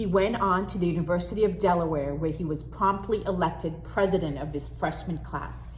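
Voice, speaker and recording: This woman talks at a moderate pace while noticeable background noise carries on behind her. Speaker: school librarian. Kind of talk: children's story read-aloud.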